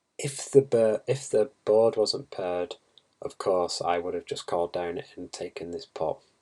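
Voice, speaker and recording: Mumbling, a man speaks at a moderate pace. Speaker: poker player reviewing hands. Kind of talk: video hand review tutorial. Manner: halting, thinking aloud.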